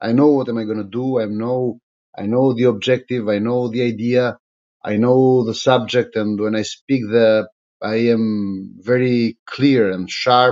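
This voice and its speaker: A man with an Albanian accent speaks fairly slowly in a medium-pitched voice with flat, monotone intonation. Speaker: politician. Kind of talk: live-stream monologue. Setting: live social media stream. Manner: halting, many fillers.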